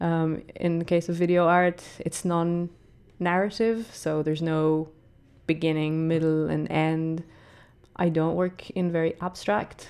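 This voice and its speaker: Flat and monotone, a woman speaks at a fairly slow pace with a dark, mellow tone and fairly low pitch. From Israel. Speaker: visiting artist and curator. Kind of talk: radio interview. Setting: studio.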